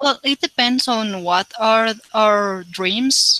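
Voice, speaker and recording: With lively intonation and a bright, sharp tone, a woman talks at a very slow pace in a fairly high pitch. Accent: slight non-native. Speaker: English learner. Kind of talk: conversation practice. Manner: halting.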